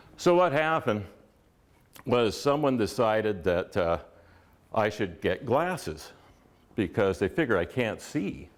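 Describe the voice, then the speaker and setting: Speaking at a fairly slow pace with long, frequent pauses, a man with a Canadian accent lets his pitch swing very widely. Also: medium pitch for a man. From western Canada, Victoria BC area. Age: 70s. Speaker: local storyteller, dyslexic speaker. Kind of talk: personal reminiscence. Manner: casual, conversational with fillers.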